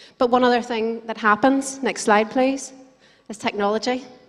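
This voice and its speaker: A woman with a fairly high pitch speaks in an Irish accent at a fairly quick pace, her intonation fairly even. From Ireland. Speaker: conference speaker, digital marketer. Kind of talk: conference presentation. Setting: stage with audience. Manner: fast.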